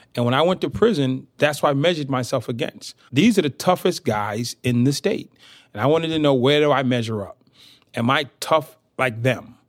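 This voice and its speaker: Recorded very cleanly over a silent background, a man with an American accent has an unremarkable speaking voice, fairly high in pitch, with lively intonation at a moderate pace. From US Northeast, inner-city Boston. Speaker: motivational speaker, former prisoner. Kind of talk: interview.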